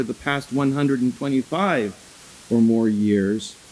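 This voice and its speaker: Lively intonation marks a man's speech, delivered at a moderate pace. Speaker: immigration lawyer and organization director. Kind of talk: conference opening remarks. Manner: loud.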